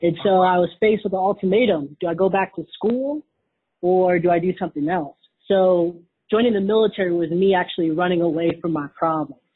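A woman speaks at a fairly quick pace in an ordinary speaking voice, her medium pitch showing ordinary variation. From Wisconsin, US Midwest. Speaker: Navy veteran and entrepreneur. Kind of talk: casual interview.

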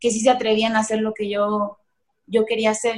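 Here a woman speaks with a Mexican accent at a moderate pace. Her pitch is fairly high. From Mexico, Michoacán. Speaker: entrepreneur. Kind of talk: interview. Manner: halting.

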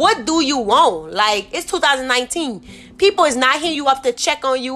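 Raised and projected, a woman's high voice comes across in an animated tone. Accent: New Orleans. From New Orleans. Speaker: podcast host. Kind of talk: casual monologue.

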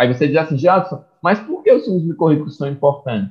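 A somewhat breathy man's voice with ordinary pitch variation. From Brazil, interior of Pernambuco (Águas Belas). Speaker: mycology researcher and professor. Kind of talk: interview.

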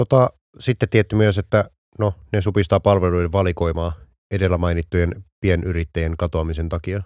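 A man's very deep, low voice with fairly even intonation, dry and close with no echo, on a very clean recording with a silent background. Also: moderate pace. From Finland, Vantaa. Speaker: podcast co-host. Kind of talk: casual chat. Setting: studio.

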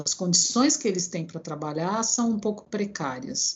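Somewhat breathy, a woman speaks at medium pitch with lively intonation. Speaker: engineer and professor. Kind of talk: interview.

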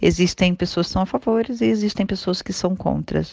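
A woman speaks in a Brazilian accent. The sound is dry and close, with no echo. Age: 30s. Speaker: immigrant. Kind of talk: testimony. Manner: formal.

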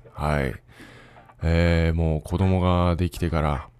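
A man speaks at a fairly slow pace with fairly even intonation. His pitch is very deep and low. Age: 30s. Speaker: podcaster and father. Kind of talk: solo casual monologue.

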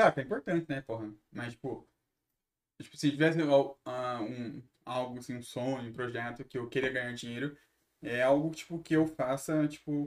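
A man with a medium pitch talks at a moderate pace, with ordinary pitch variation. His speech has long, frequent pauses and big swings in loudness. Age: 20s. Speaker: singer, songwriter and podcaster. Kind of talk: casual chat.

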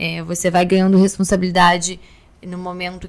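A woman talks at a moderate pace in a fairly low voice. Her intonation stays flat and monotone. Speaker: oral surgery resident. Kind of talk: interview.

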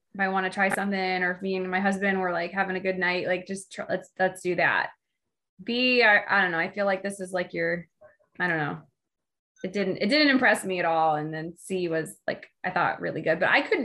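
A woman's plain, everyday voice at medium pitch, with a moderate pace and ordinary pitch variation. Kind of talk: casual chat.

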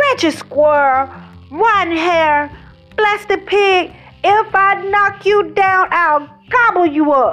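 Bellowing in a put-on character voice at an extremely high pitch, a woman speaks at a fairly slow pace with long, frequent pauses while faint music plays in the background.

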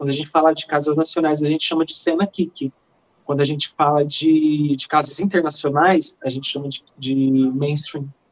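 Moderate pacing and ordinary pitch variation from a woman's voice. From Minas Gerais, Brazil. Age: 20s. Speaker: dancer and choreographer. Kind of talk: podcast interview.

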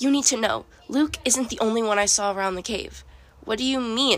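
Pitch moves in an ordinary way. The delivery is plain reading aloud.

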